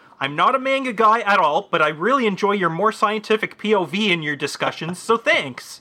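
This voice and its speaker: Against noticeable background noise, a man projects a raised voice at a high pitch. He moves at a fairly quick pace with lively intonation and hardly any pauses. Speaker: podcast co-host. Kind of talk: casual banter.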